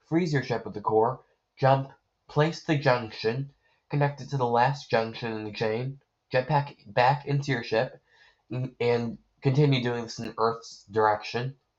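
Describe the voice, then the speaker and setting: Somewhat breathy at medium pitch, a man speaks with fairly even intonation, big swings in loudness and long, frequent pauses. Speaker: gamer. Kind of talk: game tutorial voiceover.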